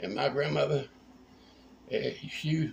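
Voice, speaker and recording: The voice carries a Tennessee accent and moves at a moderate pace. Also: man. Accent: Southern US (Tennessee). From US South, north central Tennessee. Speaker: home cook. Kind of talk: cooking tutorial. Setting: home kitchen. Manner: casual, folksy.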